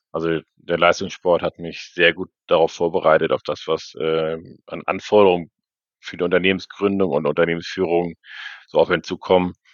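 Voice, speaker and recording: Monotone and flat, a man with a very deep, low voice speaks at a moderate pace while his loudness swings widely. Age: 30s. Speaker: entrepreneur and former canoe world champion. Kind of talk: casual interview.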